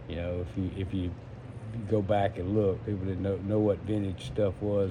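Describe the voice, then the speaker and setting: In a room with audible echo, a man speaks at a moderate pace in a fairly low pitch. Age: 60s. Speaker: entrepreneur. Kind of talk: casual monologue. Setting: smoking while talking. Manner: halting.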